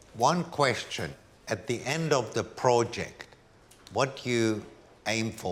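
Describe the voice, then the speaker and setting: Lively intonation at a fairly slow pace, in a Hungarian accent. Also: man. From Hungary, then Paris as a child. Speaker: art curator. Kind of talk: documentary interview; casual chat.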